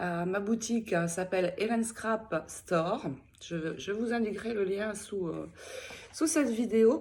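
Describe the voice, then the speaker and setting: A woman speaks at a very slow pace. Her pitch is medium. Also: ordinary pitch variation. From France (Picardie). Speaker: scrapbooking YouTuber. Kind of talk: casual vlog announcement. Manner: halting, many fillers.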